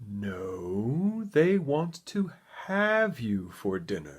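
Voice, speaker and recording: Putting on a character voice, a man speaks very slowly at a medium pitch, with very wide pitch swings. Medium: read story.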